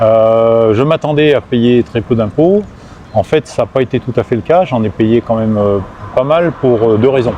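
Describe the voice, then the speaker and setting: The delivery is fairly slow, with very even loudness and ordinary pitch variation. Noticeable background noise can be heard. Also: man, medium pitch for a man. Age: 60s. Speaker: retiree living abroad. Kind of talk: interview. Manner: hesitant, many fillers.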